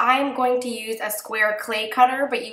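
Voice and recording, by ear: A woman's fairly bright tone at a moderate pace, with little pitch movement and audible room echo.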